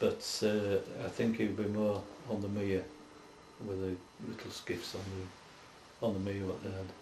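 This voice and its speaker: A man in a Yorkshire accent, fairly low-pitched, with monotone, flat intonation and a fairly slow pace. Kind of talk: oral history interview answer.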